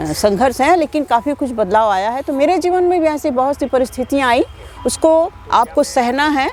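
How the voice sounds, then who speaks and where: Noticeable background noise under a moderate pace and lively intonation. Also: woman, high pitch for a woman. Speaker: folk singer. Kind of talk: interview answer.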